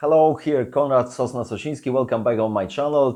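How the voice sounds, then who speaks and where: Against a quiet background, a voice with a dark, mellow tone and a Polish accent shows ordinary pitch variation. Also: man. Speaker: tabletop game designer and YouTuber. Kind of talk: Q&A video. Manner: halting, many fillers.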